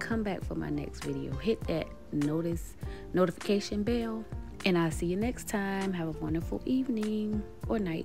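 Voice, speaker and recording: Against music in the background, a woman speaks at a moderate pace. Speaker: home DIY vlogger. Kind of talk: tutorial voice-over narration.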